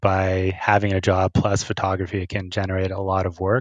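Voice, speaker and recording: Against a quiet background, a man with a Canadian accent speaks in a fairly low pitch. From Ontario, Canada. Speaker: wildlife and landscape photographer. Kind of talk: interview, casual chat.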